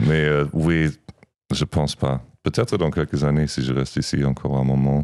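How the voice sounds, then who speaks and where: The voice moves at a moderate pace with fairly even intonation and very even loudness. The sound is dry and close with no echo. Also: man. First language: German (speaking French). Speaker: podcast co-host and musician. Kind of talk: casual chat. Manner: halting.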